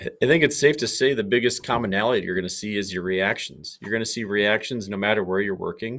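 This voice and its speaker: A man speaks very fast in a Minnesotan accent, his pitch fairly low with ordinary variation. The recording is very clean, with a silent background. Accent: Minnesota. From Minnesota, small town. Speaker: police K9 handler. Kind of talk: podcast interview.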